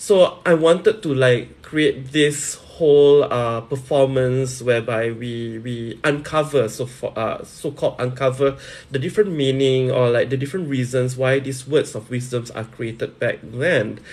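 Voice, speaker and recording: A man talks at a fairly slow pace with hardly any pauses. His pitch is medium, with ordinary variation. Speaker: live streamer and promoter. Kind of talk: casual live stream talk.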